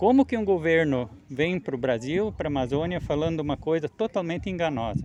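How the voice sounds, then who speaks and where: This man talks at a moderate pace with a fairly high pitch, lively intonation and hardly any pauses, over noticeable background noise. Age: 60s. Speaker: farmer. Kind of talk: field interview testimony. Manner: halting.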